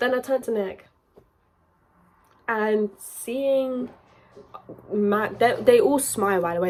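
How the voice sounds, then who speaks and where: A woman's voice with fairly even intonation, in a British accent. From UK. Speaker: YouTuber. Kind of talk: storytime vlog.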